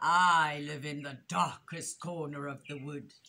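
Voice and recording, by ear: A woman's put-on character voice, low-pitched with a bright, sharp tone, fairly even intonation and a fairly slow pace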